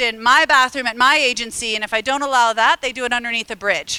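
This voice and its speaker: Loud and projected, an animated woman with an American accent talks fairly quickly in a high, bright, sharp voice, recorded dry and close with no echo. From US Midwest (Illinois). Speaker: harm reduction advocate, presenter. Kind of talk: conference talk. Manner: fast.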